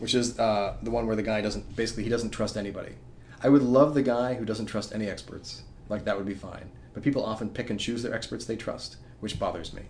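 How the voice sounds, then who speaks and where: A man at a medium pitch speaks very fast with fairly even intonation, and room echo is audible. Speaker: comic strip creator and podcast co-host. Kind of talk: casual chat.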